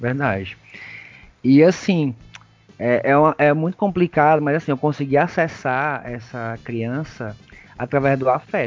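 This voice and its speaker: With music in the background, a man speaks fairly slowly at a fairly high pitch, with ordinary pitch variation and long, frequent pauses. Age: 30s. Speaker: kindergarten teacher. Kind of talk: casual interview.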